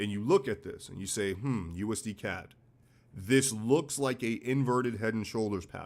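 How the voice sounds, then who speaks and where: With a New York accent, a man talks at a moderate pace and medium pitch. His pitch varies in an ordinary way, while his loudness swings widely. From US Northeast, New York City. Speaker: forex trading educator. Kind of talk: live-stream trading analysis. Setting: live stream. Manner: blunt, casual.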